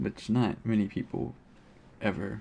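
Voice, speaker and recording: A man with an American accent talks at a moderate pace. His fairly low voice is dark and mellow, with fairly even intonation. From United States. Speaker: video game streamer. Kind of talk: casual gaming livestream commentary. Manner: monotone.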